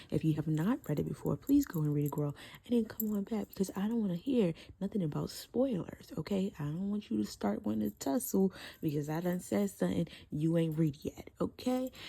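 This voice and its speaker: The voice is somewhat breathy with a dark, mellow tone, moving through very wide pitch swings at a fairly quick pace. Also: woman. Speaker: book reviewer. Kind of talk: casual talk to camera. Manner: chatty, sassy.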